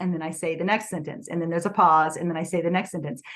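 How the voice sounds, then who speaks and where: A woman's fairly low voice, very fast in pace, with fairly even intonation. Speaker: author. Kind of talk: interview.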